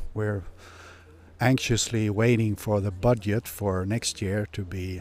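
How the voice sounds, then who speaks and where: A man with a Swedish accent and fairly even intonation, on a very clean recording with a silent background. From Sweden, Hedemora. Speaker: retired mining executive, company director. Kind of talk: interview. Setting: on location. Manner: halting.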